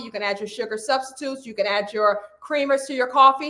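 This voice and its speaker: With noticeable background noise in the recording, the speech runs at a fairly quick pace. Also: woman. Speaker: weight loss coach. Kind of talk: live stream coaching talk. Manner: loud; animated.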